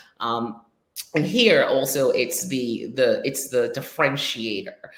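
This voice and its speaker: A woman with a Trinidadian accent speaks at a fairly slow pace, with audible room echo. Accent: Trinidadian, noticeable in the US. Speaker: digital marketing business owner, show host. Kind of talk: casual interview chat. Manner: lively, laughs a lot.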